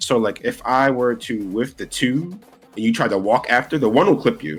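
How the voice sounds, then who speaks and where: Music plays behind a man speaking with a New York accent. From New York City. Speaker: fighting game player. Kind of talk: casual interview.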